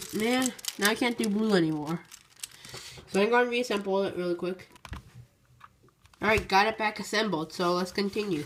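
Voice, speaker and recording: Amid noticeable background noise, the speech moves at a fairly quick pace but has long, frequent pauses. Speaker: YouTuber, speedcuber. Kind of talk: casual vlog tutorial.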